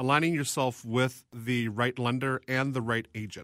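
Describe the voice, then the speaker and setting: A man's ordinary speaking voice at medium pitch, with ordinary pitch variation, in a very clean recording with a silent background and a dry, close sound with no echo. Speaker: loan officer. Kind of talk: casual chat. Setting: studio.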